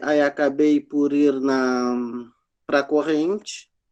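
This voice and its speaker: The speaker is a man. His voice sits fairly high. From southern Brazil, Rio Grande (RS). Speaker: Afro-Brazilian religion practitioner, panelist. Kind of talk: panel testimony.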